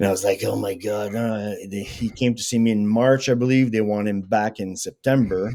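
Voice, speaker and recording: Using a normal speaking voice, a man with fairly low pitch speaks at a moderate pace with hardly any pauses. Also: fairly even intonation. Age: 60s. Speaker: veteran strength and conditioning coach. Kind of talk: casual interview chat.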